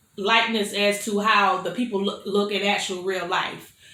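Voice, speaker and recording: Someone speaks with an American accent amid audible room echo. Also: woman. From Florida. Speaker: mukbang youtuber. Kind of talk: casual chat while eating. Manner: chatty, conversational.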